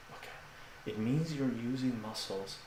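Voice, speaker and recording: Soft-spoken and calm in tone, a man talks at medium pitch against noticeable background noise. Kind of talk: live fitness demonstration to camera. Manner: soft-spoken, calm, instructional.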